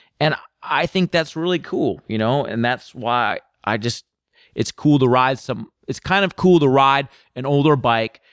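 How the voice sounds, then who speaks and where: A man with an American accent and an unremarkable speaking voice talks at a fairly slow pace with ordinary pitch variation, in a very clean, dry, close recording with no echo and a silent background. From Minnesota, US Midwest. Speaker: motorcycle journalist. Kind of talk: casual chat.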